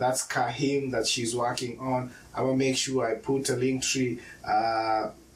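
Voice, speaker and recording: Amid noticeable background noise, a man at a medium pitch speaks at a fairly slow pace in a monotone, flat intonation. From Kenya. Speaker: podcast host. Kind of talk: casual interview.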